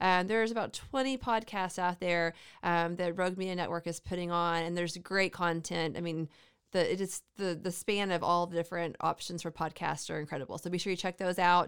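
A woman's unremarkable speaking voice, fairly low in pitch, with fairly even intonation and a fairly quick pace, on a very clean recording with a silent background. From Central Texas. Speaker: podcast host. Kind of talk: casual chat.

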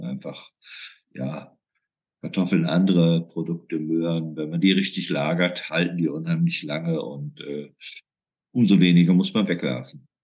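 A man's very deep, low pitch holds fairly even intonation. He keeps to a moderate pace. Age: 60s. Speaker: food bank chairman. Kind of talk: interview.

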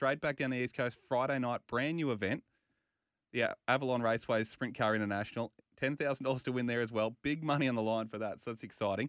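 Talking at a very fast pace, a man with an Australian accent speaks at medium pitch. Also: very clean recording, silent background. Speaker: motorsport radio host. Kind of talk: radio show chat. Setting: radio studio. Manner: animated.

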